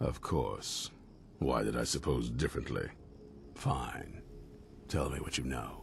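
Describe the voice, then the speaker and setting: A man in a put-on character voice, fairly slow with long, frequent pauses, over clear background noise. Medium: video game. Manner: gruff, blunt.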